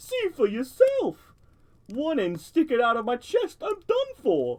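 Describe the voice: High-pitched and put-on, a character voice speaks at a fairly slow pace.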